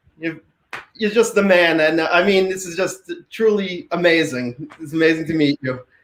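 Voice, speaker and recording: A man with a New York accent and a high pitch. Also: ordinary pitch variation, moderate pace, big swings in loudness. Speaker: fan. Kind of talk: casual chat. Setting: video call.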